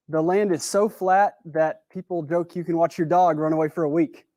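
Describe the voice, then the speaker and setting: In a Texan accent, a man with a high pitch talks at a moderate pace with ordinary pitch variation, in a dry, close sound with no echo. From West Texas. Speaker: speaker at a talk event. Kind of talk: prepared talk. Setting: stage with audience. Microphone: new mic.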